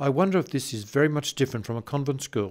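With lively intonation and a very fast pace, a man talks against a quiet background. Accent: Australian. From Australia. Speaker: conference presenter reading a tribute paper. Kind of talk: reading aloud a prepared tribute paper. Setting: conference presentation. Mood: calm, reflective. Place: studio. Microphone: studio mic.

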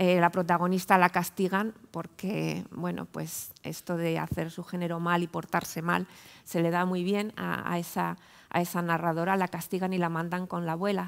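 A woman with a fairly low voice talks at a moderate pace in a monotone, flat delivery. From Spain, León; Spain. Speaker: professor. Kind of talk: round-table talk. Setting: stage with audience. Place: hall. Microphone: headset.

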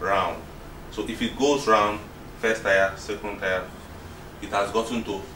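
A man with a fairly low pitch talks at a fairly slow pace, with audible room echo and light background noise. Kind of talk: explanation to a group. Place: home room. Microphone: camera far.

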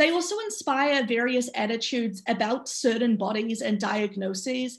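A woman with a New Zealand accent talks at a fairly slow pace, her pitch fairly high with ordinary variation. The background is quiet. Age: 20s. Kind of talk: panel discussion. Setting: video call.

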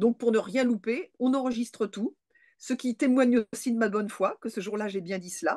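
With a quiet background, the woman's voice shows ordinary pitch variation. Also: fairly high pitch for a woman. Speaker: parapsychologist and lecturer; lecturer. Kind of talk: interview testimony. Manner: fast. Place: home room. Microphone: webcam.

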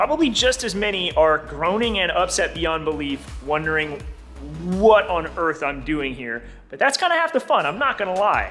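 A man at a moderate pace, faint music in the background. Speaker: car builder vlogger. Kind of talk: casual vlog chat. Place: workshop. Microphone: phone near.

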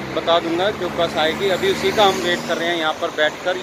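There is noticeable background noise behind this man's voice, and the sound is dry with no echo. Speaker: travel vlogger. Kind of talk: casual vlog chat. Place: street. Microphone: phone near.

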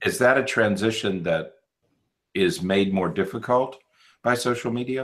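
This man speaks at a moderate pace and medium pitch, with lively intonation. He leaves long, frequent pauses against a quiet background. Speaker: clinical psychologist, podcast host. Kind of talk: casual podcast conversation. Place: studio.

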